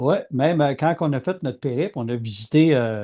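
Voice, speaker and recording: Against a quiet background, a man with a Quebec accent speaks fairly quickly, his fairly high voice carrying a dark, mellow tone and lively intonation. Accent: Québécois French. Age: 60s. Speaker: podcast co-host, aircraft engine designer. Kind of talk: casual chat.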